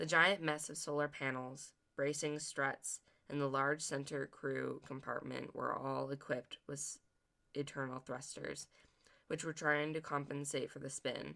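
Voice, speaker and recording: A put-on character voice, raspy and pitched low to middle. It moves at a moderate pace. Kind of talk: audiobook narration. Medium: read story. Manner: earnest, occasionally stumbling.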